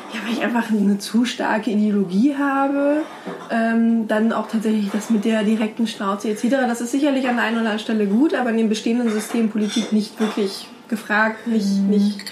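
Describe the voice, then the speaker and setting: A woman with a fairly high pitch talks at a fairly quick pace over noticeable background noise and audible room echo. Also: fairly even intonation. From Brandenburg, Germany. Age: 20s. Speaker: women's platform founder. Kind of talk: interview.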